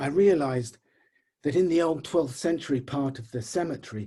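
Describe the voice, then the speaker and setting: A man with a dark, mellow tone and a somewhat breathy voice speaks at a moderate pace. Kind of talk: short story reading.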